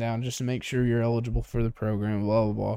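A man speaks in a Southern US accent with a dark, mellow tone. The recording is very clean, with a silent background. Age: 20s. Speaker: podcast co-host. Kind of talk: casual chat. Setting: tea shop.

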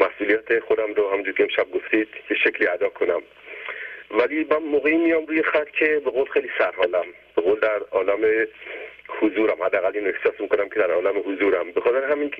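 A man at a very fast pace, very even loudness, noticeable background noise. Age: 80s+. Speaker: caller. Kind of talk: testimony.

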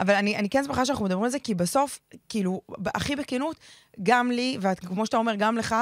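A woman's fairly high voice at a very fast clip, with ordinary pitch variation, a dry, close sound free of echo, and a very clean recording over a silent background. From Israel, ultra-Orthodox community. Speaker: podcast host. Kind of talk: casual chat.

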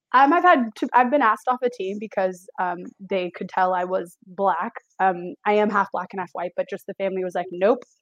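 In a normal speaking voice, a woman talks at a fairly quick pace with a dry, close sound that has no echo. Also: medium pitch for a woman, ordinary pitch variation. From San Francisco Bay Area, California. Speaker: behavior analysis student. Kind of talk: casual chat.

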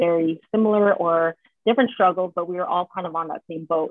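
A woman's plain, everyday voice with an American accent, medium in pitch, with ordinary pitch variation at a fairly quick pace. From US West Coast, San Jose (Bay Area). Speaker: mental health advocate, sorority member. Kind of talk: casual chat.

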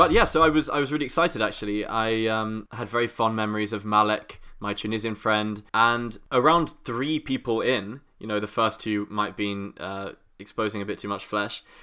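A man talks with hardly any pauses in a bright, sharp tone. The recording is very clean, with a silent background. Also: fairly low pitch for a man, ordinary pitch variation, moderate pace. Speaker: podcast co-host. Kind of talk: casual chat. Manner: playful, puts on accents.

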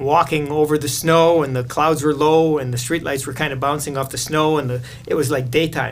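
Pitch variation stays ordinary here. It is a normal speaking voice. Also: man. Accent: Canadian. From Canada, southern Manitoba. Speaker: missionary. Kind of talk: interview.

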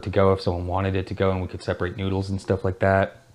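In a West Coast US accent, a man with a very deep, low pitch talks very fast. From Oregon, US (Salem). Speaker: ramen shop owner and chef. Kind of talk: casual interview chat. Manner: casual, filler-heavy speech.

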